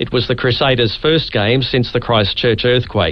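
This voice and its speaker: Noticeable background noise sits beneath speech at a moderate pace. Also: man. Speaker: radio news presenter. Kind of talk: radio news bulletin.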